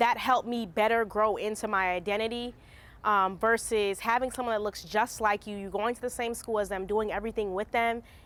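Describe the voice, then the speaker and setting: Speaking at a fairly quick pace, a woman uses fairly even intonation and a fairly high pitch. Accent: Philadelphia. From Philadelphia, South Philly. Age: 20s. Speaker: documentary interviewee. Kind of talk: interview testimony.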